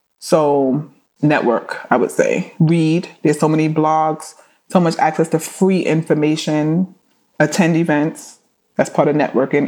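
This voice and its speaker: On a very clean recording with a silent background, a woman with a New York accent speaks in a dark, mellow tone at a very deep, low pitch. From New York, Flatbush, Brooklyn. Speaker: entertainment attorney. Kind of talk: interview.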